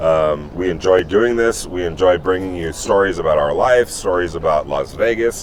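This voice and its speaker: Over noticeable background noise, a man talks in a very deep, low pitch. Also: ordinary pitch variation, moderate pace. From New York. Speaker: sports journalist and podcast co-host. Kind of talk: casual chat.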